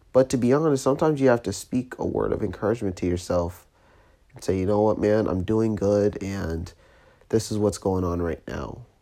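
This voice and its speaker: Soft-spoken delivery at a moderate pace is heard on a very clean recording with a silent background. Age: 20s. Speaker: podcast host. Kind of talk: motivational monologue. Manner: quiet, steady, soft-spoken.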